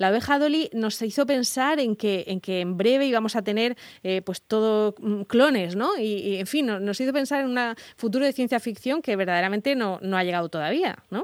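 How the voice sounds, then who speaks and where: Speaking at a moderate pace, a woman uses lively intonation at a fairly high pitch. The recording is very clean, with a silent background. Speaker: radio host. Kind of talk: casual chat. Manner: halting.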